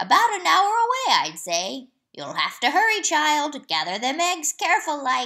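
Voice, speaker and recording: A woman uses a put-on character voice, pitched extremely high, raised and projected. Her pitch swings very widely as she talks at a moderate pace. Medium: read story. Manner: steady, soft, folksy.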